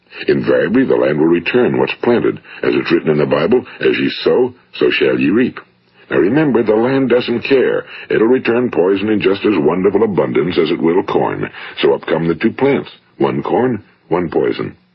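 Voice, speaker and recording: The delivery comes in an American accent at a moderate pace. Loudness stays very even throughout. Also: man. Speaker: radio broadcaster and motivational speaker. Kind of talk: motivational speech / self-help recording. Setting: vintage 1950s studio recording.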